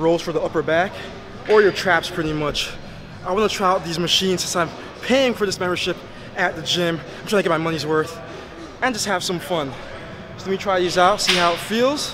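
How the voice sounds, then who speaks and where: A man speaks at a fairly quick pace in a high pitch. His ordinary pitch variation comes over noticeable background noise. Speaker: fitness vlogger. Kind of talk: casual vlog chat. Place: gym.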